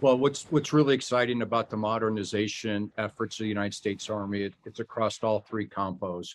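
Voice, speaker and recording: A plain, everyday voice at a fairly quick pace, with fairly even intonation and hardly any pauses. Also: man, fairly low pitch for a man. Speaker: army general. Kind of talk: interview.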